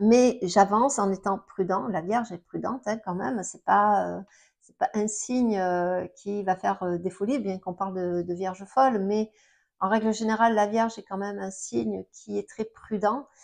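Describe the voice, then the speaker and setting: A woman talks at a moderate pace in a medium pitch, with ordinary pitch variation. Her loudness swings widely against a quiet background. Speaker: astrologer. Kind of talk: astrology talk to camera. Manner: halting, many fillers.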